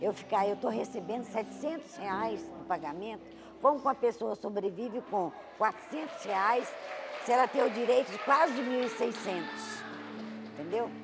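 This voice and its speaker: Noticeable background noise behind a woman's fairly high, lively voice at a moderate pace. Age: 70s. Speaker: consumer fraud victim. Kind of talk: testimony.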